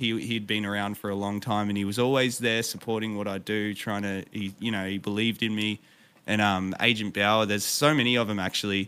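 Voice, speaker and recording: Speaking at a fairly quick pace with an Australian accent, a man with a fairly low pitch and a bright, sharp tone keeps a monotone, flat intonation. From Victoria, Australia. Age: 30s. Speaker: streamer and musician. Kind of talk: interview. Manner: halting.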